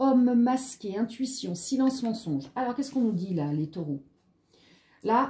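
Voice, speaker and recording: A woman's high voice with a dark, mellow tone, very wide pitch swings and a fairly slow pace. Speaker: tarot card reader. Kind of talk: tarot reading video. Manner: animated.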